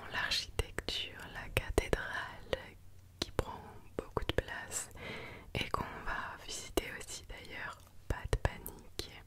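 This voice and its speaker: Whispered words come very slowly against noticeable background noise. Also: woman. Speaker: ASMR content creator / vlogger. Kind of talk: casual talk to camera, travel vlog narration.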